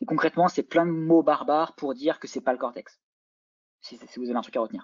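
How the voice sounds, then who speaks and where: This is a man speaking. His pitch is fairly high. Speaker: lecturer and neuroscience PhD student. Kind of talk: lecture. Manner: fast.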